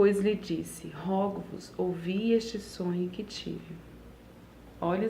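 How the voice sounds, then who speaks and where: A soft-spoken woman at a medium pitch, very slow pace and fairly even intonation, with audible room echo. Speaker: women's Bible reading host. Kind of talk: Bible reading with commentary. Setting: at home at night. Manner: soft-spoken, speaking quietly.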